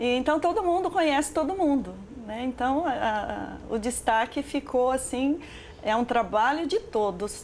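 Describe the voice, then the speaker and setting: Her pitch high, this woman talks at a fairly slow pace. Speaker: short film director and Portuguese teacher. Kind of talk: interview answer.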